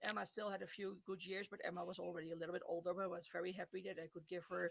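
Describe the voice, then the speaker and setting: Speaking very fast with hardly any pauses, a woman keeps a monotone, flat intonation. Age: 60s. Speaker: pet charity group organizer; podcast guest. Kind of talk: interview. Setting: video call. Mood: warm, storytelling. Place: home room.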